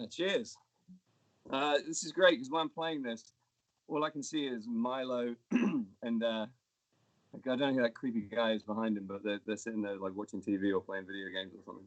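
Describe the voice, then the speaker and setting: Speaking at a fairly quick pace, a man at medium pitch uses lively intonation and big swings in loudness. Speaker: musician. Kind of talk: casual chat between songs on a livestream. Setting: at home, performing over video stream.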